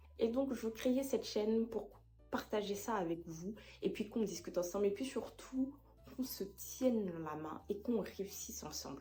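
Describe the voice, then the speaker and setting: Music plays in the background while a woman speaks at a medium pitch. Her intonation is lively, and room echo is audible. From Ivory Coast. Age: 20s. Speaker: YouTuber. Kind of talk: casual vlog monologue to camera.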